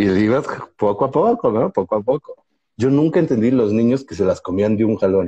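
A man speaks in a dark, mellow tone with lively intonation at a fairly quick pace. The sound is dry and close, with no echo. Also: medium pitch for a man. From Mexico. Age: 40s. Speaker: comedian podcast co-host. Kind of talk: casual chat. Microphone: bad connection, freezing.

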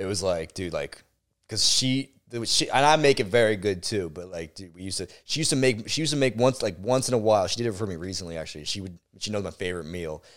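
Delivered at a very fast pace, the voice swings widely in loudness on a very clean recording with a silent background. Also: man, fairly low pitch for a man. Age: 20s. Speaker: podcast co-host. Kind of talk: casual chat.

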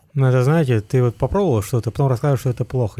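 Very cleanly recorded against a silent background, a man talks at a very fast pace. His medium-pitched voice is somewhat breathy, with a dark, mellow tone. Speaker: podcast co-host. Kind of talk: casual chat.

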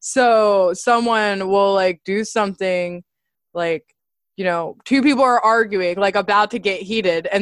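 A woman uses a plain, everyday voice at a medium pitch, keeping a moderate pace and ordinary pitch variation. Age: 20s. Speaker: podcast host and psychology student. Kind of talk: casual chat. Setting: video call.

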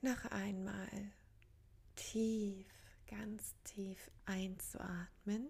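A woman speaks at a medium pitch, very slowly, with long and frequent pauses. Her intonation is fairly even, her tone gentle and calm, and her voice somewhat breathy. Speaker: meditation coach. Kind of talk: guided meditation. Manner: calm, slow, soothing, with long pauses; gentle, inviting, addressing listener as du.

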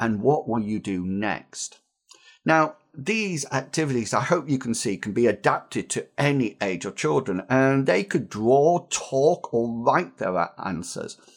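Over a silent background on a very clean recording, a man of medium pitch talks at a fairly slow pace with very wide pitch swings. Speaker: teacher trainer podcast host. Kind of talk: tutorial.

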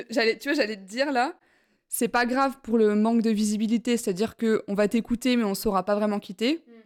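On a very clean recording, silent background, a woman talks at a very fast pace in a fairly high voice with ordinary pitch variation, the sound dry and close with no echo. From France, Besançon. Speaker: podcast host. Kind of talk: casual chat. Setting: at home, apartment. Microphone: poor sound quality.

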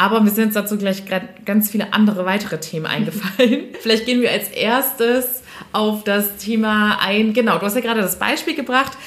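Noticeable background noise sits behind this woman's voice. Her pitch is fairly high, with ordinary variation. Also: moderate pace. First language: bilingual German and French (speaking German). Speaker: podcast host and career coach. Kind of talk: casual interview chat; scripted intro and outro. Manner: animated.

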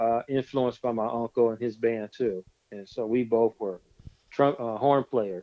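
A man speaks in a normal speaking voice with an American accent, at medium pitch. His pace is moderate and his pitch variation ordinary. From California (Stockton). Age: 50s. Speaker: DJ. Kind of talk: casual interview.

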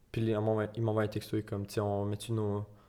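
The voice is dark and mellow in tone, moving at a fairly quick pace with monotone, flat intonation. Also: man. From Quebec, Gatineau. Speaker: soccer player. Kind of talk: interview.

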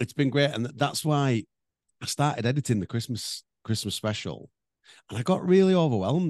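Speaking very fast, a man uses lively intonation and a fairly high pitch. The sound is dry and close with no echo, over a quiet background. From North Wales. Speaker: podcast co-host and performer. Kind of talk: casual chat. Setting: remote recording.

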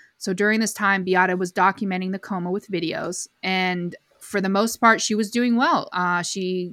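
A woman with a New England accent speaks at a moderate pace in a bright, sharp tone with monotone, flat intonation, the sound dry and close with no echo on a very clean recording with a silent background. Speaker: podcast co-host. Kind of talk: casual chat recapping a documentary. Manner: hesitant, many fillers.

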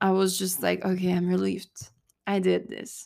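In a French accent, a woman talks on a very clean recording with a silent background. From southern France, Cannes. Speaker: podcast host, mental coach. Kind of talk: solo podcast monologue.

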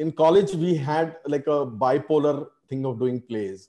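The background is quiet as a man speaks. His tone is dark and mellow, with ordinary pitch variation. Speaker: ad filmmaker and film director. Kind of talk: casual interview.

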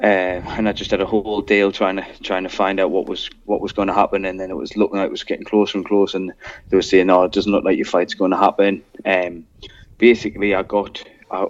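Someone talks at a very fast pace with a northern English accent. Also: man. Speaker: MMA fighter. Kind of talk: casual chat.

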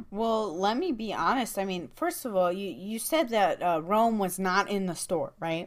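A woman's plain, everyday voice of medium pitch, with lively intonation, a moderate pace and hardly any pauses. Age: 20s. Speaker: podcast co-host. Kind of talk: casual chat.

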